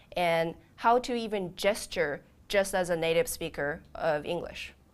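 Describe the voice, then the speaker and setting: Very clean and silent in the background, this recording has a woman with a Japanese accent speaking at medium pitch. She talks at a very slow pace with ordinary pitch variation. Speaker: startup founder, language educator. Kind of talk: pitch interview.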